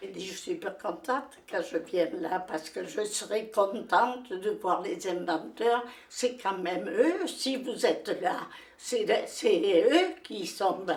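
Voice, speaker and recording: The speaker talks very slowly, with lively intonation and big jumps in loudness. Background noise is clearly audible. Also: woman. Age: 80s+. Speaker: widow of a discoverer of a famous cave. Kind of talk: interview answer. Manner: passionate, determined.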